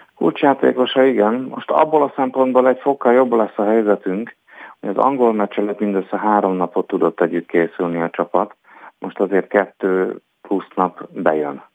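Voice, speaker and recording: A man with a plain, everyday voice, fairly low in pitch, lively in intonation, at a moderate pace. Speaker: sports journalist. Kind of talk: casual sports chat.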